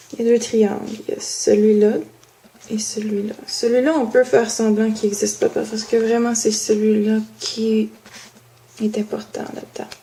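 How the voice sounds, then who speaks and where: With a Quebec accent, a woman speaks in a fairly high, monotone, flat voice, leaving long, frequent pauses over noticeable background noise. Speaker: student. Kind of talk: homework explanation. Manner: halting.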